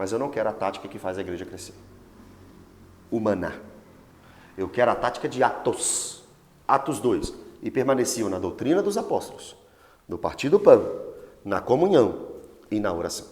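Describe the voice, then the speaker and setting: At a moderate pace, a man talks in an animated tone, with long, frequent pauses and big swings in loudness. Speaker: pastor. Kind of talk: Bible study teaching.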